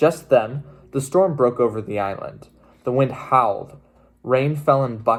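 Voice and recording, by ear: Someone reads aloud in a natural voice, their pitch varying by ordinary amounts.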